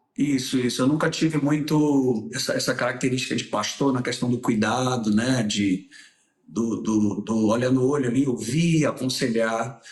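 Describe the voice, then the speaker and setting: Lively intonation from a man at medium pitch and a moderate pace. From Salvador, Bahia, Brazil. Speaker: singer, writer and former pastor. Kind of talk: casual interview chat.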